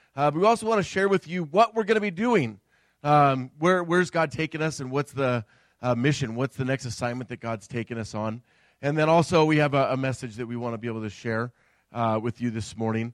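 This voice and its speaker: An unremarkable speaking voice at a fairly quick pace, with a dry, close sound and no echo. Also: man, medium pitch for a man. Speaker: pastor. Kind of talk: sermon. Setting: church.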